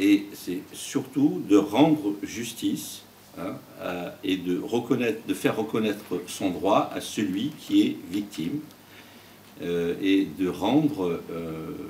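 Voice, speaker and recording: Lively in intonation, a man with a fairly low pitch talks at a very slow pace. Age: 60s. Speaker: judge. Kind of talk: interview. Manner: halting.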